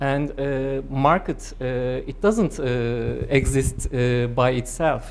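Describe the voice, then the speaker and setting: A woman speaks in a Turkish accent. Her pitch is very deep and low. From Turkey. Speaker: political economist. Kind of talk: academic seminar discussion. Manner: halting, frequent hesitations.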